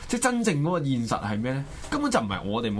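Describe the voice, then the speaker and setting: A man in a Hong Kong accent, with noticeable background noise and audible room echo. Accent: Hong Kong Cantonese. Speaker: political talk show host. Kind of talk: political commentary. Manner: animated.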